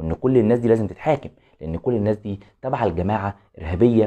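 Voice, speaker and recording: A man's medium-pitched, dark and mellow voice in an Egyptian accent at a fairly quick pace, over a quiet background. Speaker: football commentary YouTuber. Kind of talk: opinion vlog monologue.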